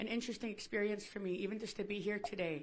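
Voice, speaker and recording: A woman talks at a medium pitch with fairly even intonation. Audible room echo surrounds her voice. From Akwesasne Mohawk Territory, New York, US. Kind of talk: personal testimony.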